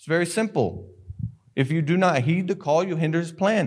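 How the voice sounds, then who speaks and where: In a very clean recording with a silent background, a man with a Southern US accent speaks at a fairly high pitch with ordinary pitch variation. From North Carolina (Sanford). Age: 20s. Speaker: missionary. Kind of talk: sermon. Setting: church.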